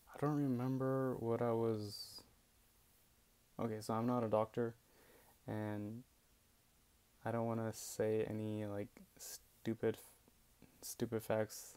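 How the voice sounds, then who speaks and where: With a dark, mellow tone and monotone, flat intonation, the speech moves at a very slow pace broken by long, frequent pauses. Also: man, medium pitch for a man. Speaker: epilepsy patient sharing experience. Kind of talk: casual talk to camera. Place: home room. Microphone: earbuds.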